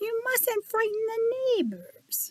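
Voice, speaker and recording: This is a put-on character voice that sounds squeaky. Its intonation stays fairly even. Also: woman, extremely high pitch for a woman. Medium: read story. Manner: prim, proper.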